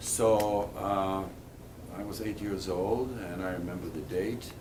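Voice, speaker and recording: A man speaks at a very slow pace with a fairly low pitch and monotone, flat intonation. Audible room echo surrounds his voice. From Poland. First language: Polish. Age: 80s+. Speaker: Holocaust survivor. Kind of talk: testimony.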